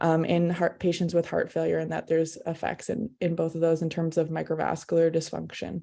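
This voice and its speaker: A woman talks at a fairly quick pace with hardly any pauses. Her background is quiet. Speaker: cardiac imaging researcher. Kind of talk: scientific presentation. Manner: fast.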